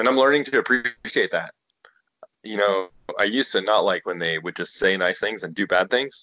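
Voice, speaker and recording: At a moderate pace, a man with an American accent uses a normal speaking voice at medium pitch. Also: ordinary pitch variation. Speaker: guest. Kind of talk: casual chat. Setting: phone call.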